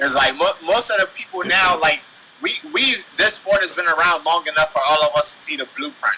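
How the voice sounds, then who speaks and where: A man with a Washington DC accent, high-pitched, animated, at a fairly quick pace, over noticeable background noise. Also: ordinary pitch variation. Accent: US East Coast, DC-area urban speech. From Nigeria, raised in the DC area. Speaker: professional MMA fighter. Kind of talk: casual interview.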